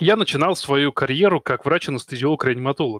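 Recorded in a dry, close sound with no echo, a man talks at a very fast pace. His fairly high voice moves with lively intonation. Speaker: podcast host and doctor. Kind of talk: live online discussion, moderating.

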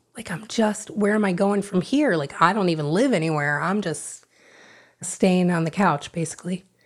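Recorded very cleanly against a silent background, a woman speaks with an American accent in a plain, everyday voice. Her pace is moderate and her pitch variation ordinary. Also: medium pitch for a woman. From South Florida. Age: 50s. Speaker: recovering addict. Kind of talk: testimony.

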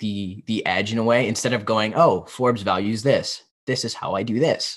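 In an ordinary speaking voice, a man with a fairly low pitch speaks at a moderate pace and fairly even intonation, in a very clean recording with a silent background. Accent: American. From US, Pennsylvania. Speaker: business student and podcast host. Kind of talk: interview conversation.

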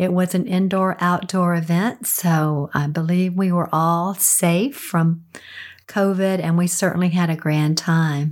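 Speaking at a fairly slow pace, a woman with a raspy voice and a fairly low pitch keeps her intonation fairly even.

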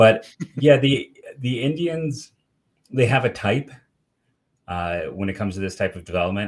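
This man speaks at a moderate pace with ordinary pitch variation. The recording is very clean and the background silent. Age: 40s. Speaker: baseball writer and podcaster. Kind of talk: casual chat. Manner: halting, many fillers.

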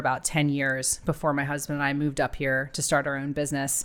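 With an American accent, a woman speaks at a very deep, low pitch and a fairly quick pace in a bright, sharp tone, in a very clean recording with a silent background. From Ohio, US. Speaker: bar and bottle shop owner. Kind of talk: casual interview.

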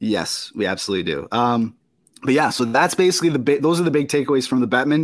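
A man's medium-pitched voice with vocal fry, very wide pitch swings and a very fast pace, on a very clean recording with a silent background. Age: 20s. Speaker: hockey podcast host. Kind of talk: casual chat. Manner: halting.

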